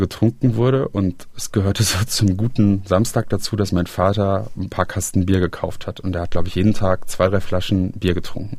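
Fairly quick with hardly any pauses, a man speaks at a fairly low pitch, somewhat breathy, in a dark, mellow tone with fairly even intonation. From Germany, Rhineland (Aachen). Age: 30s. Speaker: interviewee sharing family addiction story. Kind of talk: personal testimony interview. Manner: hesitant, with fillers and repetitions.

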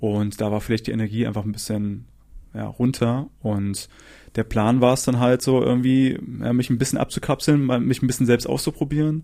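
A man's medium-pitched, dark, mellow voice at a moderate pace with fairly even intonation, in a very clean recording with a silent background. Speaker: musician and psychologist. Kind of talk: casual interview. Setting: at home in a shared flat.

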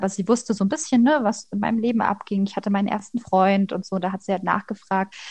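A woman's somewhat breathy, medium-pitched voice at a fairly quick pace, with ordinary pitch variation. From Leipzig, Saxony. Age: 20s. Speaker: master's student. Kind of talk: personal testimony interview. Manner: hesitant, many fillers.

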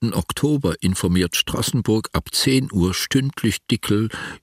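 Speaking at a fairly slow pace, a man with a medium-pitched voice lets his pitch swing very widely. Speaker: documentary narrator. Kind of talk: radio feature narration, documentary. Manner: measured, serious, formal.

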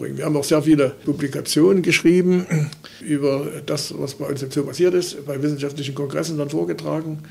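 Speaking in an ordinary speaking voice, a man has a fairly high pitch. He moves at a fairly quick pace with fairly even intonation. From Saxony, Limbach-Oberfrohna. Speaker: retired zoo veterinarian. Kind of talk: interview. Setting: zoo school room.

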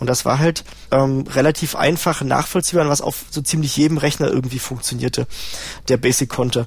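An ordinary speaking voice from a man, medium in pitch, fairly quick and fairly even in intonation. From East Germany, Halle-Neustadt. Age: 40s. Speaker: system administrator. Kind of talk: interview testimony.

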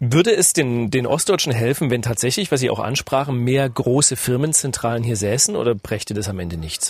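Somewhat breathy and medium in pitch, a man speaks at a fairly quick pace with lively intonation. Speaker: radio business journalist, podcast host. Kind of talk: podcast interview.

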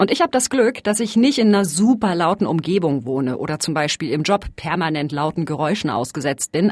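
Animated and fairly quick, a woman speaks with very wide pitch swings. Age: 30s. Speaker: podcast host, science journalist. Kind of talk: casual narrated podcast. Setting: outdoors in a courtyard.

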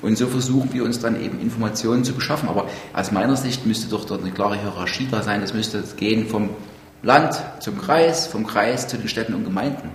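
Over noticeable background noise and audible room echo, a man with medium pitch speaks at a fairly quick pace with ordinary pitch variation. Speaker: mayor. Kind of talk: work meeting. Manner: blunt.

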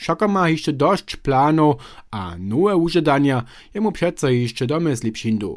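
This man's voice moves in very wide pitch swings. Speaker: radio reporter. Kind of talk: radio feature report.

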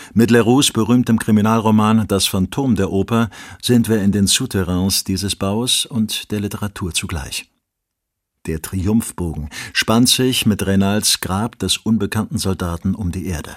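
In a normal speaking voice, a man with a fairly low pitch talks at a fairly slow pace with ordinary pitch variation, in a very clean recording with a silent background and a dry, close sound with no echo. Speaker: audiobook narrator. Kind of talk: literary essay reading, read aloud from a written text. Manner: measured, formal, deliberate delivery.

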